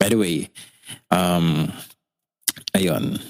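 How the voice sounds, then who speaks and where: Fairly even intonation marks a man's very deep, low-pitched voice. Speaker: podcast host. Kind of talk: casual podcast monologue. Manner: natural, radio-like delivery.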